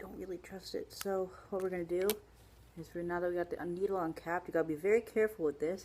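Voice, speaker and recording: With an ordinary speaking voice, a woman talks at a fairly quick pace in a fairly low pitch with fairly even intonation, on a very clean recording with a silent background. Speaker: video blogger. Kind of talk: tutorial. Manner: casual, with fillers.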